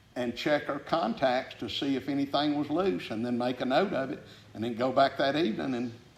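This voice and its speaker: A man's fairly high voice with a Southern US accent, ordinary pitch variation and a fairly quick pace. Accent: Southern US (Georgia). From Georgia, McDonough. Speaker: retired aggregates industry businessman. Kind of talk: oral history interview. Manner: halting, many fillers.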